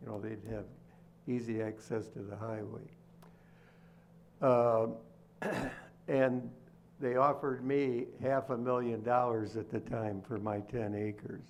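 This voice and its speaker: A man's medium-pitched voice at a fairly slow pace, with fairly even intonation, long, frequent pauses and audible room echo. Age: 80s+. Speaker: local resident addressing board. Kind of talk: public comment at meeting. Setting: township board meeting hall. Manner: halting.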